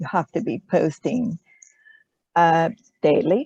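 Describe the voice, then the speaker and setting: A woman's medium-pitched voice with a non-native accent at a fairly slow pace, in a dry, close sound with no echo and a quiet background. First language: not English. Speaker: social media marketer. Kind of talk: group discussion. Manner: halting, many fillers.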